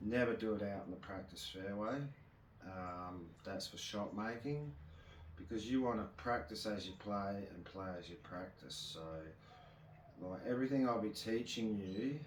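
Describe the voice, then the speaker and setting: This is an ordinary speaking voice. Its loudness swings a lot. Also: man, fairly low pitch for a man, ordinary pitch variation, fairly slow pace. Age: 40s. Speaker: golf instructor. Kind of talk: casual instructional talk to camera.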